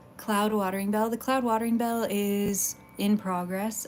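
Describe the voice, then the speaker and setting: A woman speaks with fairly even intonation. Noticeable background noise runs behind her. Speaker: streamer. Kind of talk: casual chat. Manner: stuttering.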